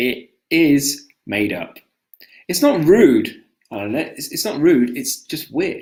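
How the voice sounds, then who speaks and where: Here a man speaks at a very slow pace. He has a strong British accent. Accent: British, thick. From Britain. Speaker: English teacher. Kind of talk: live-stream language lesson, casual chat. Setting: live stream video call.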